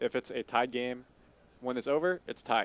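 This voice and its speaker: The recording is dry, with no echo. A man speaks with ordinary pitch variation. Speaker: soccer play-by-play commentator. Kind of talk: color commentary banter between two commentators. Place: booth. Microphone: headset.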